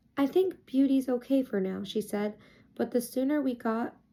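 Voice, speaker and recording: A soft-spoken woman with a dark, mellow tone, on a very clean recording against a silent background. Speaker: ASMR creator. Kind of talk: children's book reading.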